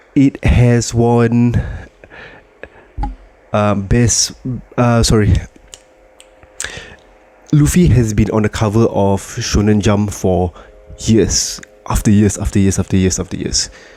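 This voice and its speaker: The speaker goes very slowly, leaving long, frequent pauses, with ordinary pitch variation. Noticeable background noise runs throughout. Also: man, fairly low pitch for a man. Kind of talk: casual talk to camera.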